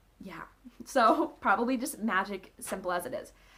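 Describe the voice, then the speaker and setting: At a moderate pace, a woman talks with a fairly high pitch and very wide pitch swings. Noticeable background noise is present. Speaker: book blogger. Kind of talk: casual talk to camera. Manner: rambling, hesitant.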